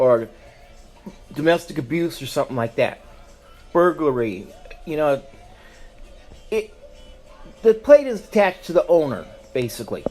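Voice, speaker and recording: A man with a fairly high pitch and an American accent, very wide pitch swings, a moderate pace, and music in the background. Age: 60s. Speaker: podcast host. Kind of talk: political rant. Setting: live stream. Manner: animated.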